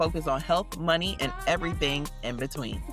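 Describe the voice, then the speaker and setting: With music behind her, a woman talks in a very deep, low pitch. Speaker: podcast co-host. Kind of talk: podcast intro and casual conversation.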